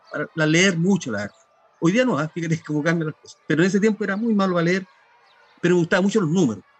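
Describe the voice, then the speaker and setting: A man talks at a fairly quick pace in a high pitch with fairly even intonation. Noticeable background noise is present. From Chile, Los Ángeles (Biobío). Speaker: fishing guide and author. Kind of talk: interview. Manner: halting.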